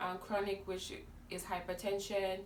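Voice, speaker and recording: A woman's medium-pitched, monotone, flat voice with audible room echo. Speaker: lifestyle vlogger. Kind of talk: casual vlog talk. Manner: loud. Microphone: no microphone.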